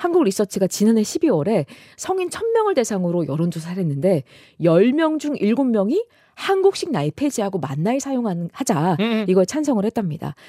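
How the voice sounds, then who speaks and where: With a dark, mellow tone and a medium pitch, a woman speaks at a moderate pace, her pitch swinging very widely, in a dry, close sound with no echo. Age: 40s. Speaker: news reporter. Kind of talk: radio explainer chat; news reading.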